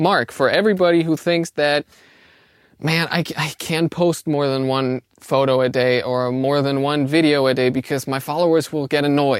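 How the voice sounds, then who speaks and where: Recorded dry and close with no echo, a man with a German accent talks at a moderate pace, his fairly high pitch held to a fairly even intonation. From Austria. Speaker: co-host intern. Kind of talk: casual chat.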